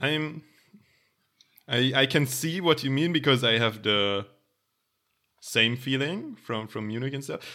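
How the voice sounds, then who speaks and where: Speaking at a fairly slow pace with an German accent, the voice leaves long, frequent pauses. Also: man, medium pitch for a man, ordinary pitch variation. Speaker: podcast co-host. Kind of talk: casual chat.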